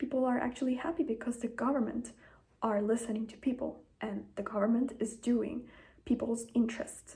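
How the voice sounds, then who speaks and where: A woman's fairly high voice with a dark, mellow tone, vocal fry, big swings in loudness, fairly even intonation and a fairly quick pace. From Italy. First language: Italian. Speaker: manifestation content creator. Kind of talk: casual talk to camera. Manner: conversational, informal.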